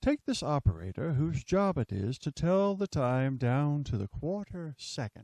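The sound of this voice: This man talks at a fairly slow pace with a fairly high pitch, big pitch swings and a slightly mellow tone.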